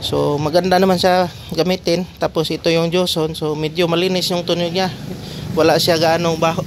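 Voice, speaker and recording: Noticeable background noise sits behind a man speaking at a moderate pace. His high-pitched voice stays monotone, with flat intonation. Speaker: product reviewer. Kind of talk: product review. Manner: casual.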